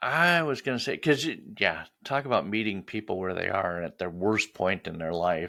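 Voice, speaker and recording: Speaking with an American accent, a man uses a fairly low pitch, a bright, sharp tone and very wide pitch swings. He keeps a moderate pace with hardly any pauses on a very clean recording with a silent background. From US Upper Midwest. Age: 60s. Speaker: podcast host. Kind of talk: casual interview chat.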